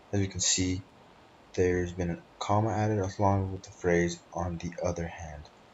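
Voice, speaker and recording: A man with a non-native accent speaks at a fairly slow pace, his very deep, low pitch held in a monotone, flat intonation. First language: not English. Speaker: student. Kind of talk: class presentation. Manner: hesitant, with frequent fillers.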